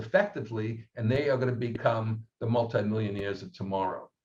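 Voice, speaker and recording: A man's somewhat breathy voice. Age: 70s. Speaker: research firm head, panelist. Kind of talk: webinar panel discussion.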